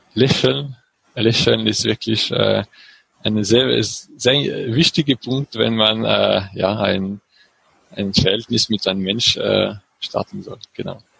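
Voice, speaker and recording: A man at a very slow pace, in a dry, close sound with no echo. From France, French Alps near Grenoble. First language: French (speaking German). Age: 30s. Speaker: engineer and cycling traveler. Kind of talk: interview. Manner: halting, many fillers.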